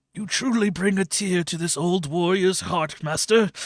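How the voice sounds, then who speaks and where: Using a put-on character voice, a man speaks at a moderate pace in a high pitch with fairly even intonation. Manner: solemn, heartfelt.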